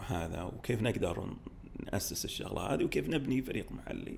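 The voice of a man comes through with audible room echo. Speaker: startup studio executive. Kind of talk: podcast interview.

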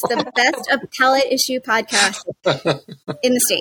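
The voice has a bright, sharp tone, moving at a fairly slow pace with fairly even intonation. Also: woman, fairly high pitch for a woman.

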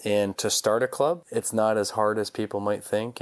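Fairly quick and fairly even in intonation, a man with an unremarkable speaking voice talks at a fairly low pitch on a very clean recording with a silent background. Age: 30s. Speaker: golf company founder and CEO. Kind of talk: interview.

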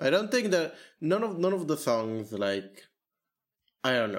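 A man talks with a moderate pace. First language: not English. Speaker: podcast host. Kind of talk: casual chat.

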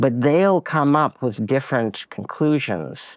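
With a Montreal accent, a man speaks at a fairly slow pace and with lively intonation, in a dry, close sound with no echo over a quiet background. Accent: Canadian English (Montreal Anglophone). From Quebec, Anglophone suburb of Laval near Montreal. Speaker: cartoonist and former publisher. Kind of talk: interview conversation. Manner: halting, many repetitions and fillers.

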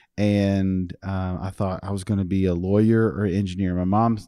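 In a slight Texas accent, a man speaks at a moderate pace, low-pitched with a dark, mellow, clear, smooth tone and little pitch movement. The recording is very clean, with a silent background. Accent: American, slight Texas twang.

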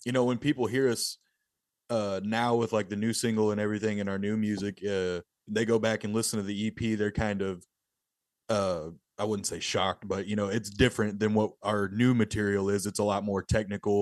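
Over a quiet background, a man with a Texan accent speaks at a moderate pace. His fairly low voice stays monotone and flat. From rural Texas. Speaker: death metal musician. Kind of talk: interview.

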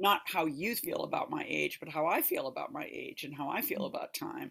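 A woman with a low pitch talks at a fairly quick pace, her fairly bright tone carrying vocal fry and a slightly husky edge. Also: ordinary pitch variation.

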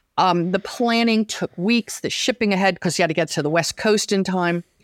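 A woman with a normal speaking voice talks at a moderate pace and medium pitch, her intonation lively, the sound dry and close with no echo, the recording very clean against a silent background. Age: 60s. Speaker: weaver and sewing teacher. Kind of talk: interview.

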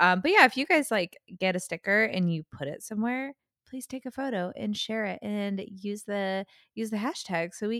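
A plain, everyday voice: a woman at medium pitch, moderate pace, ordinary pitch variation, in a dry, close sound with no echo. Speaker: podcast co-host. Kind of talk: casual chat. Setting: remote recording. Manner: chatty, laughs often.

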